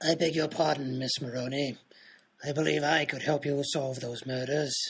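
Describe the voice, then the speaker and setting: Putting on a raspy character voice, a man with a fairly high pitch talks at a moderate pace in a flat monotone. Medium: audio drama. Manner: formal, courteous.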